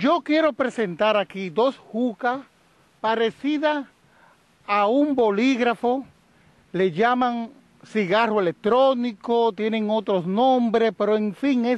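An extremely high-pitched man's voice at a very slow pace, with ordinary pitch variation and a dry, echo-free sound. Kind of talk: press interview statement. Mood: firm, campaigning. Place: open country. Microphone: handheld.

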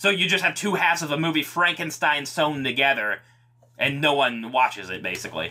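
Over noticeable background noise, a man speaks at a fairly quick pace. His pitch is fairly high and his intonation lively. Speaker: podcast co-host. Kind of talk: casual chat.

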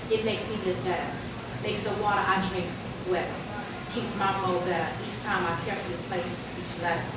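A woman with an American accent at a fairly quick pace, with long, frequent pauses, audible room echo and loud background noise. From Chicago. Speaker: poet. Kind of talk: spoken word poetry performance. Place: bar.

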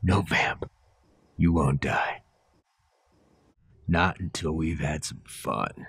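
A put-on character voice at a very slow pace, broken by long, frequent pauses. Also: man, very deep, low pitch for a man. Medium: audio drama. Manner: cold, menacing.

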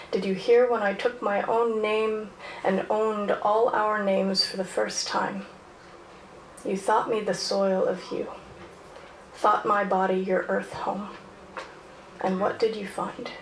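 Speaking with monotone, flat intonation and long, frequent pauses, a woman is heard with audible room echo and light background noise. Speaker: poet performer. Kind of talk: poem performed, spoken-word poetry. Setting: stage with audience. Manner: casual, chatty and self-aware between pieces. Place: stage.

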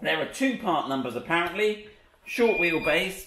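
Lively intonation from a man at a moderate pace, with light background noise and audible room echo. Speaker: presenter. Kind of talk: casual tutorial chat. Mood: jokey, laughing. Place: workshop. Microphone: camera far.

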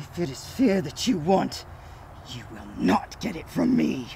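Behind clear background noise, a man speaks with big swings in loudness. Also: fairly high pitch for a man, moderate pace. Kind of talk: solemn eulogy.

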